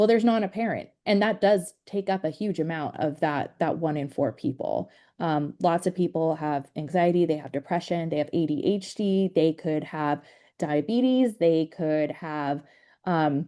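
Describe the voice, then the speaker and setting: Against a quiet background, a woman speaks at a fairly low pitch with a dark, mellow tone, a moderate pace and ordinary pitch variation. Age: 30s. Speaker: trainer. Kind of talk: training presentation.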